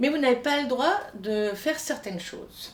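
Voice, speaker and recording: Against noticeable background noise, the speech is animated in tone, with lively intonation and a moderate pace. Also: woman. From France, Italian emigrant family from Piedmont. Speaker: singing teacher. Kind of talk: lesson on Italian diction for singers.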